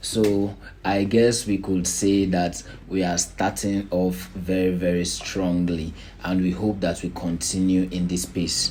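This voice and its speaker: Very deep and low, a man's voice moves at a fairly slow pace with very even loudness. His intonation is monotone and flat. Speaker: NGO chairman and founder. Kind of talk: organizational presentation.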